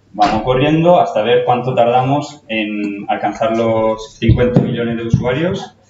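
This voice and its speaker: There is audible room echo around a man's voice. He speaks fairly slowly at a medium pitch. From Italy. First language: Italian (speaking Spanish). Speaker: nursing educator. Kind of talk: conference talk. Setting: stage with audience. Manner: halting, with fillers.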